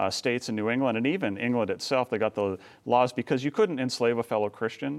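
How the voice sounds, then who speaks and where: In a very clean recording with a silent background, a man with a normal speaking voice and medium pitch talks with lively intonation. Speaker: filmmaker and author. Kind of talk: interview.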